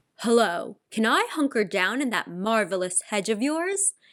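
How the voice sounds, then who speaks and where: A woman's put-on character voice, croaky and fairly high-pitched, at a moderate pace. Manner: loud.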